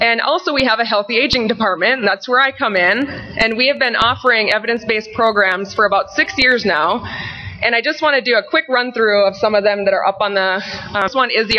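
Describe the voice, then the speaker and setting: A woman speaks at a fairly quick pace with a fairly high pitch, ordinary pitch variation and very even loudness. Noticeable background noise runs beneath her voice. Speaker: fitness program manager and presenter. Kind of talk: conference presentation. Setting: conference session with microphone.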